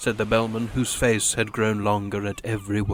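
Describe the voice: Simply plain reading aloud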